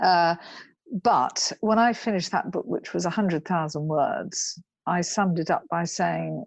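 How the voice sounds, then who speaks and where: Over a quiet background, a woman with a southern English accent speaks at a moderate pace in a fairly low pitch with vocal fry, the sound dry and close with no echo. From England, Cambridge. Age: 60s. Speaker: equestrian rider and author. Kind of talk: interview. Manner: halting.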